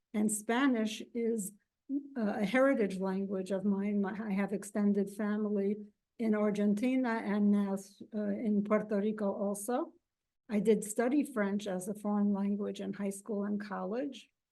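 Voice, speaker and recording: A woman with a dark, mellow tone speaks at a medium pitch and moderate pace, her intonation fairly even, with audible room echo around her. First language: Yiddish. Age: 70s. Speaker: professor. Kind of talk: lecture. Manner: halting.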